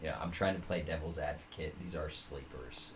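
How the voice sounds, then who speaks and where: A somewhat breathy man's voice is heard with audible room echo. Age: 20s. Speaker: fantasy football podcast co-host. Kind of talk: casual chat.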